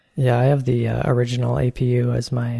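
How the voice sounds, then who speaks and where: A man speaks at a moderate pace in a dark, mellow tone. His voice is somewhat breathy, with ordinary pitch variation. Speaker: podcast co-host, software developer. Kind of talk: casual tech discussion. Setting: home desk setup, Skype call.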